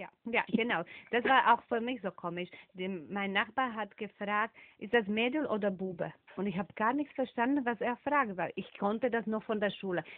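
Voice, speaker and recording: A woman speaks with a non-native accent at a fairly high pitch. Her pace is moderate and her pitch varies in an ordinary way. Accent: foreign accent in German. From Slovakia. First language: Slovak (speaking German). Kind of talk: interview.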